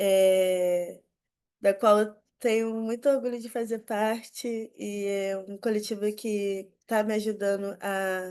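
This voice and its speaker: A woman speaks at a very slow pace in a medium pitch, with monotone, flat intonation. Her loudness swings widely against a quiet background. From Rio de Janeiro, west zone. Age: 20s. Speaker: youth community leader. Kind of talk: panel talk.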